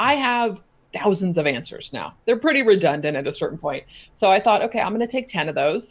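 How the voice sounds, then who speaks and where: A woman's animated voice at a very fast pace. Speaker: content marketing expert. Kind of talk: interview.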